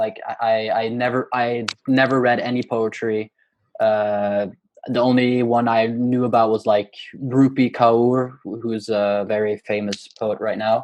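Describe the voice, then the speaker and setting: A man speaks with a Norwegian accent at medium pitch. His pace is fairly slow and his intonation is monotone and flat. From Norway. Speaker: poet and university student. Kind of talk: interview. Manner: hesitant, many fillers.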